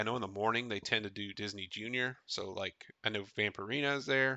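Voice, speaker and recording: A man at a very fast pace, medium pitch, with ordinary pitch variation. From Tennessee. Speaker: podcast host, theme park reviewer. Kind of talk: solo podcast monologue.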